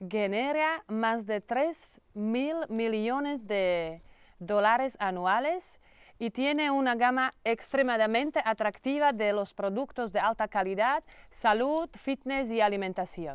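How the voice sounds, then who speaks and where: In a Slovak accent, a woman speaks very slowly with lively intonation, the sound dry with no echo and the background quiet. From Slovakia. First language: Slovak (speaking Spanish). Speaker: network marketing entrepreneur; presenter. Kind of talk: sales pitch. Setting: training farm in Mallorca. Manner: halting. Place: garden.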